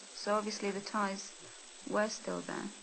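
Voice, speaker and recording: Over noticeable background noise and audible room echo, a woman speaks with an English accent at a fairly slow pace. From England, Spanish family. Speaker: Spanish expat interviewee. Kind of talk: interview testimony.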